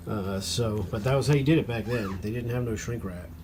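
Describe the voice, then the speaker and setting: A man talks at a medium pitch, his pitch variation ordinary, with audible room echo around him. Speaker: antique fan restorer, hobby video maker. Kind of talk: casual tutorial-style narration. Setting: workshop table. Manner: hesitant, many fillers.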